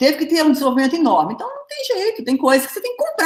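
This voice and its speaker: A woman races along at a very fast pace, her pitch swinging very widely. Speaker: pharmacy researcher and professor. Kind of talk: online lecture. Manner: animated.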